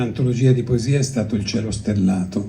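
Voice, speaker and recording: A man with a Greek accent talks at a medium pitch with ordinary pitch variation. Audible room echo surrounds his voice. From Greece, then Italy from age six. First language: Greek (speaking Italian). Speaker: poetry publisher. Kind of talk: festival talk. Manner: hesitant, with fillers and restarts.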